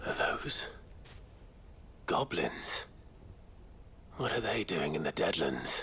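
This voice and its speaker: Whispering in a cartoonish character voice, a man talks at a fairly slow pace. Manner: dry, steady.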